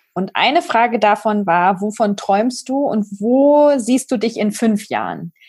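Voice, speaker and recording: A woman's somewhat breathy, fairly high-pitched voice at a very slow pace, with hardly any pauses and ordinary pitch variation, on a very clean recording with a silent background. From village near Braunschweig, Germany. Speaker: podcast host. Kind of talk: podcast interview.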